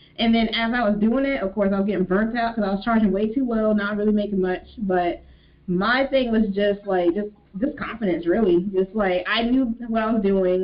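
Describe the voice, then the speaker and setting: Her voice is fairly high-pitched, a plain, everyday voice. The woman talks at a moderate pace. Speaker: business manager and entrepreneur. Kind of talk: panel discussion. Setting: video call.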